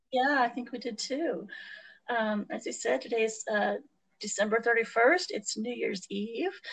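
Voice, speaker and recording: Speaking at a fairly slow pace, a woman uses a fairly high pitch with vocal fry and ordinary pitch variation. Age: 40s. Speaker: podcast co-host. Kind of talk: casual chat.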